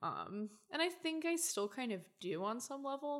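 The woman speaks in an American accent. Her pitch swings very widely. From Oklahoma, US South. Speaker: guest studying feminist theory. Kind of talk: casual chat.

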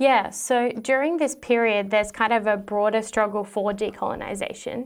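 A woman with an Australian accent speaks at a moderate pace in a fairly high voice, her intonation fairly even, on a very clean recording with a silent background. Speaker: historian, PhD student. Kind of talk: interview.

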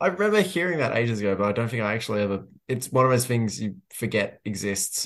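In an Australian accent, a man speaks at a very fast pace with lively intonation. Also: medium pitch for a man. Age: 20s. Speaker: football journalist. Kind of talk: casual chat.

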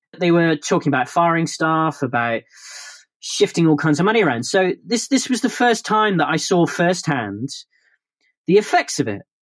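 High pitch for a man, very wide pitch swings, and a moderate pace. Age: 30s. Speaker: filmmaker. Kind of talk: casual chat.

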